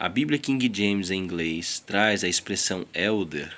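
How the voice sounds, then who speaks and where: Speaking at a fairly slow pace, the voice carries a non-native accent and ordinary pitch variation. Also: man. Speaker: Bible reader. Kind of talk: reading aloud.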